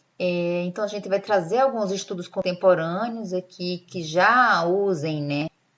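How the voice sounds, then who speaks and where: A woman speaks with a northeastern Brazilian accent. Her pitch varies in an ordinary way. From Brazil, Northeast. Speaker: lecturer. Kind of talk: lecture.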